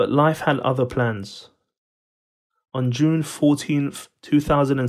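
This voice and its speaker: A man talks at a moderate pace with monotone, flat intonation on a very clean recording with a silent background. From Iran, then London from age nine. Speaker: community leader and speaker. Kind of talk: motivational talk.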